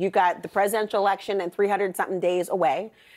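A woman is speaking. The background is quiet. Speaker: TV news anchor. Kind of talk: TV news panel moderation. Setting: TV studio. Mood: pointed, challenging. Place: studio. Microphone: lapel.

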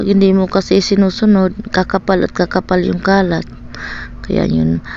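A woman's voice comes through noticeable background noise, her delivery held at a moderate pace. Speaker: vlogger, stay-at-home mother. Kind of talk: casual vlog voiceover. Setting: at home. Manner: halting, stammering.

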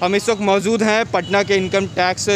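A man talking at a fairly slow pace, with noticeable background noise and a dry sound that has no echo. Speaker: TV field reporter. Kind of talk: news field report. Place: street. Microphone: handheld.

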